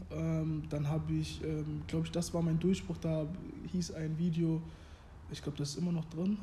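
Long, frequent pauses break up a man's moderate-paced speech, with audible room echo. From Germany, Hannover. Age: 20s. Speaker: former youth footballer and clothing brand founder. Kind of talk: casual interview chat.

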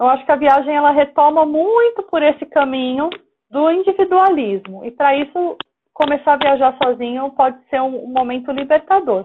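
The intonation is lively. The pace is moderate. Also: woman, high pitch for a woman. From São Paulo coast, Brazil (Praia Grande). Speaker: solo traveler and women's travel group organizer. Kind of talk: casual interview chat.

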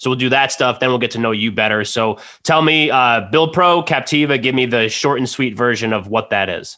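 On a very clean recording with a silent background, a man talks with an American accent. His tone is bright and sharp, his pace fairly quick, and his medium pitch shows ordinary variation. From New Jersey. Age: 30s. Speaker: podcast host. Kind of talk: casual chat. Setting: studio.

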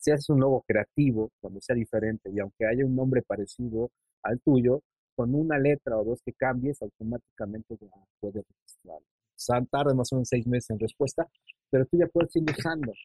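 This voice has a dark, mellow tone, moves at a fairly quick pace, and shows ordinary pitch variation. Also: man, medium pitch for a man. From Mexico City, northern outskirts. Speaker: illustrator. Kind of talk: casual interview. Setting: video call.

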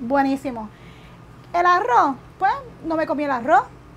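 Noticeable background noise is present. Through it, a woman can be heard talking. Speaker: keto diet cook and influencer. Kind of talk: interview.

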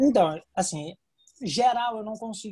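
A man's dark, mellow voice in a very clean recording with a silent background. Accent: Brazilian. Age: 20s. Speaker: real estate agent. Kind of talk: interview.

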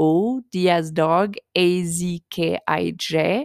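With a French accent, a woman at a fairly low pitch speaks with fairly even intonation in a very clean recording with a silent background and a dry, close sound with no echo. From France. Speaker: self-published author and podcaster. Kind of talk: casual podcast intro monologue. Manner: informal, with fillers and laughter.

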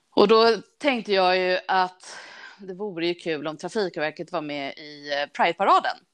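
In a plain, everyday voice, a woman talks at a moderate pace and medium pitch with ordinary pitch variation and big swings in loudness against a quiet background. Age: 40s. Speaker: railway traffic manager. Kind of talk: casual interview.

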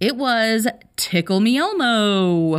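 Her intonation is lively. This woman's tone is animated. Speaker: podcast host. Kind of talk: casual solo monologue.

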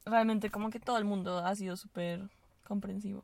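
A woman speaks in a monotone with flat intonation. Her voice is somewhat breathy. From Venezuela. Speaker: university student. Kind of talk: casual chat. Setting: in a car.

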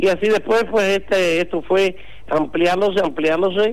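A man at a fairly slow pace. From Cuba. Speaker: doctor. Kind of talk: interview.

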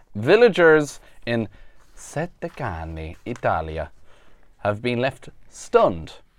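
On a very clean recording with a silent background, a man speaks at a very slow pace, with very wide pitch swings and long, frequent pauses. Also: medium pitch for a man. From Ireland. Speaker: podcast co-host. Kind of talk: casual chat; reading news items aloud.

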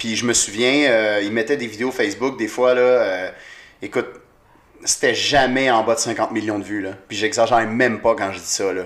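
A man speaks with a Quebec accent at a medium pitch. His intonation stays fairly even and his pace is moderate. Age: 20s. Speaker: comedian. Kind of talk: casual chat.

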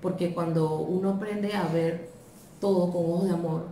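Through noticeable background noise and audible room echo, a woman with a fairly low pitch speaks at a fairly slow pace with fairly even intonation. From Panama. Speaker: video commenter. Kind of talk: video testimony.

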